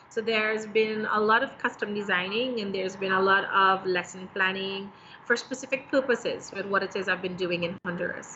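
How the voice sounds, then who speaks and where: With noticeable background noise around her, a woman keeps a moderate pace. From Trinidad and Tobago. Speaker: ESL teacher and entrepreneur. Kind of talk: livestream interview.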